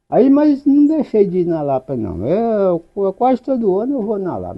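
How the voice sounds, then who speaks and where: Fairly slow male speech with very wide swings in pitch. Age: 70s. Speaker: elderly local resident. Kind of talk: oral history testimony. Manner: halting.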